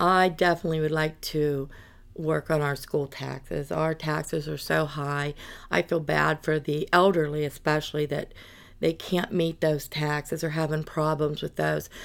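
In a western Pennsylvania accent, a woman speaks at a very deep, low pitch. Her intonation is monotone and flat, at a moderate pace. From US, western Pennsylvania (Armstrong County). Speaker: county commissioner candidate. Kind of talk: interview.

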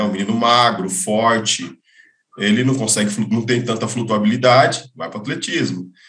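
Talking at a fairly quick pace, a man has an unremarkable speaking voice at a medium pitch. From interior of São Paulo state, Brazil. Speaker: swimming coach. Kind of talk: casual interview.

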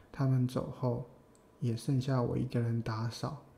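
With a dark, mellow tone and medium pitch, a man sounds somewhat breathy. He speaks at a fairly slow pace with monotone, flat intonation. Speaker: podcast co-host. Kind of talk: casual chat between a couple.

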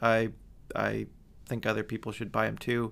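The pace is fairly quick, in a US Midwestern accent, on a very clean recording over a silent background. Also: man. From Michigan, US. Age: 30s. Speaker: podcast host. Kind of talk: sponsor read; casual interview.

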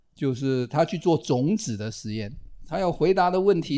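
A man with a normal speaking voice, lively intonation and a fairly slow pace. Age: 60s. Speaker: retired biology professor, podcast host. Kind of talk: casual chat.

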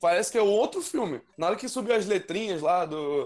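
Noticeable background noise behind a man's high voice, at a moderate pace, with very wide pitch swings. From Rio de Janeiro. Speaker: podcast panelist. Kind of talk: casual chat.

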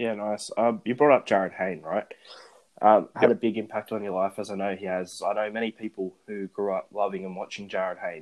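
At a fairly quick pace, a man speaks in a fairly low voice with fairly even intonation. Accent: Australian. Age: young. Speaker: podcast host. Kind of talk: casual chat. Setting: phone recording.

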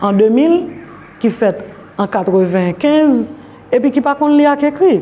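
There is noticeable background noise behind a woman whose pitch varies in an ordinary way. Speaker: women's rights organization director. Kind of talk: interview. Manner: halting, frequent fillers.

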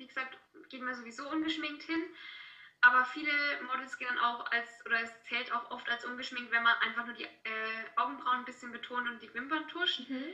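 A woman uses a raised, projected voice at a high pitch. Her pace is fairly quick and her intonation fairly even. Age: 20s. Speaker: student and model. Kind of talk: casual interview. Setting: video call.

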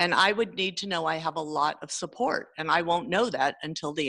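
A woman with a Californian accent speaks at a moderate pace in a very deep, low voice with a bright, sharp tone and lively intonation. The sound is dry and close with no echo, on a very clean recording with a silent background. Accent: Californian American English. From California (San Jose area). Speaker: teacher. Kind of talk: casual interview conversation.

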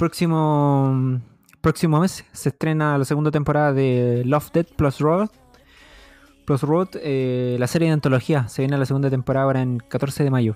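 With a Chilean accent, this man talks at a moderate pace in a fairly high pitch, his intonation fairly even and his loudness very even, in a dry, close sound with no echo. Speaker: podcast co-host. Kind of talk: casual chat.

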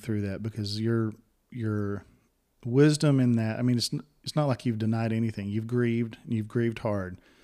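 An ordinary speaking voice with fairly even intonation comes through on a very clean recording with a silent background. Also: man. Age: 40s. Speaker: podcast host. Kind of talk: casual chat.

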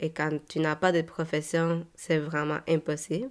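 Very slow in pace, a woman speaks at a fairly low pitch. The recording is very clean, with a silent background. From Mexico, Guadalajara. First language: Spanish (speaking French). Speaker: podcast host. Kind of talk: personal testimony monologue. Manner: hesitant, many repeated words and fillers.

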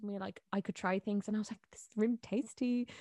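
On a very clean recording with a silent background, a woman with a Dublin accent speaks very fast at a medium pitch with fairly even intonation. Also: dry, close sound with no echo. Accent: Dublin Irish. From Dublin, Ireland. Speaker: TikTok content creator. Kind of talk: casual chat. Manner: casual, laughs often.

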